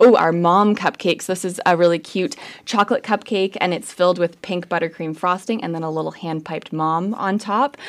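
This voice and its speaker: It's a plain, everyday voice, moving at a fairly quick pace with hardly any pauses and ordinary pitch variation. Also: woman, fairly low pitch for a woman. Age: 20s. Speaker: bakery co-founder and podcast co-host. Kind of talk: casual chat.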